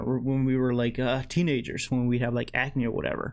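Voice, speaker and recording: A man is speaking with a Spanish accent. His pace is moderate. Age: 20s. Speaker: vlogger. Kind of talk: motivational monologue. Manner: self-described slurring at times; casual, many fillers.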